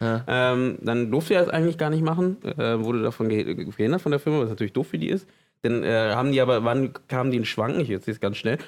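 Very fast speech from a man at medium pitch, lively intonation and very even loudness. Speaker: podcast co-host. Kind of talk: casual chat.

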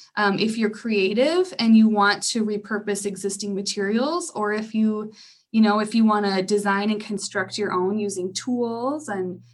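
This woman has an unremarkable speaking voice at medium pitch, with ordinary pitch variation and a moderate pace. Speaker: library program director. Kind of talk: interview answers, explaining. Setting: Zoom call. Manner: warm, explanatory, conversational.

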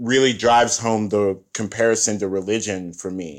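In an American accent, a man with a normal speaking voice talks at a fairly slow pace and medium pitch, with ordinary pitch variation. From United States. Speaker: philosopher and organizer. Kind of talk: casual chat.

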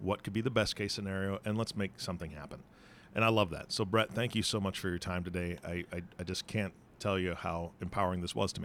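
Very clean and silent in the background, this recording captures a man with a very deep, low pitch. He talks at a very fast pace. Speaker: podcast host. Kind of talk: interview. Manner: animated.

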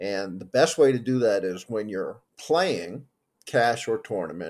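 A man with an ordinary speaking voice at a medium pitch. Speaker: poker coach. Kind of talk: interview.

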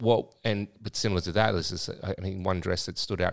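With an Australian accent, a man speaks in fairly even intonation on a very clean recording with a silent background. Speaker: podcast co-host and club owner. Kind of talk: casual chat.

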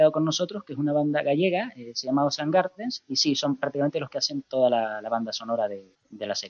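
Talking at a very fast pace, a man uses a fairly high pitch with very wide pitch swings and big swings in loudness. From Canary Islands, Spain. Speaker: comic writer and project creator. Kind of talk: interview. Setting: phone call.

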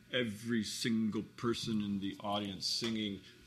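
A man with an unremarkable speaking voice talks at a moderate pace. His pitch is fairly low and his intonation fairly even. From US West Coast, Hermosa Beach, California. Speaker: guitarist and band founder. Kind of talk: casual interview chat. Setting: studio.

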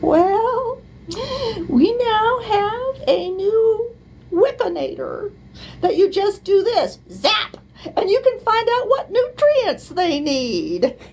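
A woman's shaky, put-on character voice, extremely high in pitch, with lively intonation at a very slow pace. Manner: comic imitation.

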